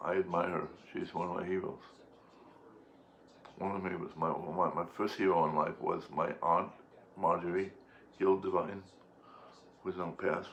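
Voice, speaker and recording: A man speaks at a moderate pace. He takes long, frequent pauses. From Boston, Massachusetts. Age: 60s. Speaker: activist and veteran. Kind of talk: casual monologue.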